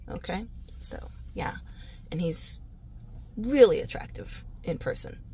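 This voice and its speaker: The woman's tone is animated. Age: 40s. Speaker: real estate agent. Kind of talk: casual comedic vlog monologue. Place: car. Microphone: phone near.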